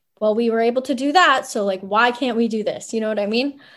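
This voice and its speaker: A woman's fairly high voice in a Canadian accent, on a very clean recording with a silent background. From Ottawa, Canada. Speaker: professional soccer player. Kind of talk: interview.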